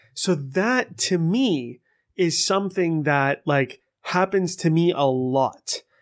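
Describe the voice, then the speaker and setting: A man with a high pitch speaks at a very slow pace with lively intonation and very even loudness, in a very clean recording with a silent background. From Persian heritage. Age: 40s. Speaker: podcast host. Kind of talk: personal monologue.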